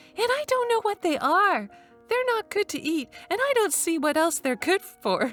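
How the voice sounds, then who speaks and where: In a put-on character voice, a woman sounds squeaky and extremely high, her pitch swinging very widely at a moderate pace, with a dry, close sound with no echo and music in the background. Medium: read story.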